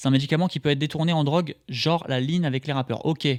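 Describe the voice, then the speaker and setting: A man with a fairly high pitch talks at a very fast pace. The recording is very clean and silent behind him, dry and close with no echo. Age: 20s. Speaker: streamer. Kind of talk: reaction commentary. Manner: hesitant, repeats words; casual.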